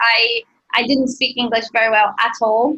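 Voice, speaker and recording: A woman with a Brazilian accent at a moderate pace. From Brazil, Rio de Janeiro. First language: Portuguese. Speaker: ballet dancer. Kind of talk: interview. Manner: halting, frequent repetitions and fillers.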